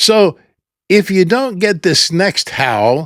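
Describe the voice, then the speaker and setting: Recorded very cleanly against a silent background, a man's voice sounds dry and close with no echo. He speaks at a very slow pace. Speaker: YouTuber for older adults. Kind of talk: casual talk to camera. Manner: upbeat, encouraging.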